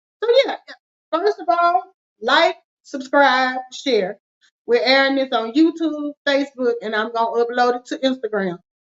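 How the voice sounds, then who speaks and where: Speaking at a moderate pace in a Southern US accent, a woman uses lively intonation and a high pitch. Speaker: finance show co-host. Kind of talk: casual chat with call to action.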